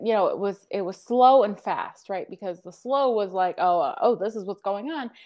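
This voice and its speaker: A woman talks at a moderate pace with lively intonation and hardly any pauses. She has an ordinary speaking voice. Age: 30s. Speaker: coach. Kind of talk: interview.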